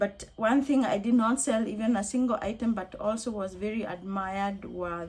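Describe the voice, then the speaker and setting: Speaking at a medium pitch, a woman sounds somewhat breathy. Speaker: crochet vlogger. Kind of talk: casual vlog talk to camera. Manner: conversational with hesitations.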